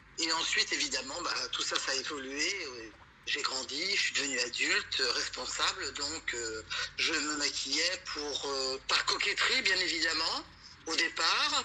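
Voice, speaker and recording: Noticeable background noise accompanies a woman who talks fairly slowly. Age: 60s. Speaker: retiree. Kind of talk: interview.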